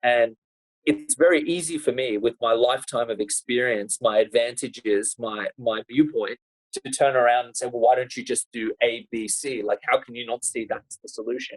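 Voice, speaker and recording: Dry and close with no echo, a man speaks with an Australian accent at a moderate pace. His loudness swings widely. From Australia, Sydney. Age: 30s. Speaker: lawyer and human rights activist. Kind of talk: podcast interview.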